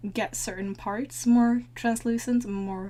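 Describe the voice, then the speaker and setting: Speaking very slowly, a woman with a dark, mellow tone sounds somewhat breathy and uses lively intonation. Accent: non-native. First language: not English. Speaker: digital painter, art tutorial maker. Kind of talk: tutorial voice-over. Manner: casual, with frequent hesitations.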